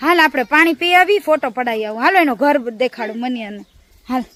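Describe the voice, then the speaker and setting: In a dry, close sound with no echo, a woman speaks at a high pitch with lively intonation. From Gujarat, India. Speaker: comedy vlogger. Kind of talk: casual vlog narration. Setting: outdoors in a village farm. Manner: animated.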